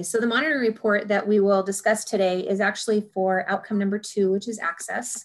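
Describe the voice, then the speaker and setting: Over a quiet background, a woman talks at a fairly quick pace in a normal speaking voice. Her pitch is medium, and her intonation fairly even. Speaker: college vice president. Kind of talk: presentation report. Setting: video call. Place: home room. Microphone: video call.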